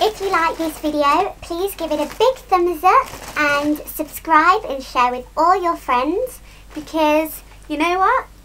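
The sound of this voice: In a put-on character voice, a woman squeaks at an extremely high pitch, speaking at a fairly slow pace with lively intonation over light background noise.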